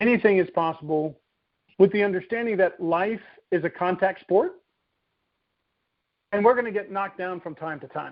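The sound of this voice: With long, frequent pauses, a man speaks at a moderate pace and a high pitch, his pitch varying in an ordinary way.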